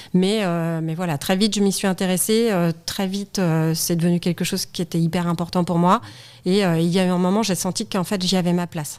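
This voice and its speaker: Heard in a very clean recording with a silent background, a woman talks fairly quickly at a fairly low pitch with fairly even intonation. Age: 40s. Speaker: studio photographer and federation president. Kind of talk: casual interview chat. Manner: fast; frank, outspoken.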